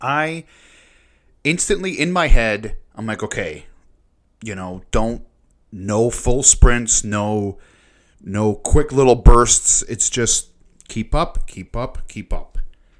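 With a Canadian accent, the speaker goes at a very slow pace, using lively intonation, big swings in loudness and long, frequent pauses, on a very clean recording with a silent background. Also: man, medium pitch for a man. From Canada (moved from Lebanon at 8). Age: 30s. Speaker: podcast host. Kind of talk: personal storytelling monologue. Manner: halting, many repeated words.

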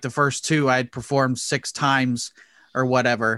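A man with a Midwestern American accent and a bright, sharp tone, on a very clean recording with a silent background. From Indianapolis, Indiana. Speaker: comedian making online character videos. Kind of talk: casual interview chat.

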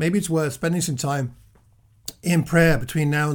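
A man's fairly high, somewhat breathy voice. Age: 60s. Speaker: preacher. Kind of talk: sermon. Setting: self-recorded at home.

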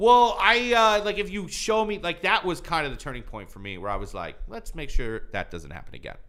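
A man with a Midwestern US accent, hardly any pauses, and big swings in loudness. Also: fairly quick pace. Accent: US Midwest. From Michigan, born in Iran. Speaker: stand-up comedian. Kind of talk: casual chat. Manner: sounds like smiling.

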